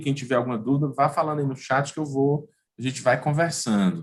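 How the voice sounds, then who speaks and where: A man talks at a fairly quick pace with fairly even intonation. His pitch is fairly high, and his voice is somewhat breathy. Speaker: lawyer, workshop host. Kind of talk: online workshop talk. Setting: online live stream. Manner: fast.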